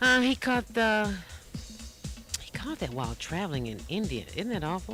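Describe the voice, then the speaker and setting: A woman's upbeat tone at a moderate pace, with music in the background. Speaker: radio DJ. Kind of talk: radio DJ link between songs. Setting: radio station broadcast. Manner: friendly, upbeat, chatty.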